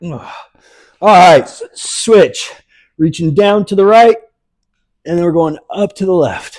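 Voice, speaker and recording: A high-pitched man at a very slow pace, with ordinary pitch variation, big swings in loudness, and long, frequent pauses. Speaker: adaptive fitness instructor. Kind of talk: live workout class instruction. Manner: breathy exertion sounds, panting.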